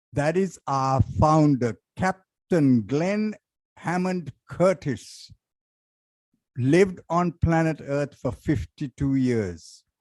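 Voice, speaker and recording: Speaking at a very slow pace, a man with a Sri Lankan accent uses lively intonation in a fairly high pitch. The sound is dry and close, with no echo. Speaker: resident speaking at public comment. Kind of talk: public comment at council meeting. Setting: city council chamber.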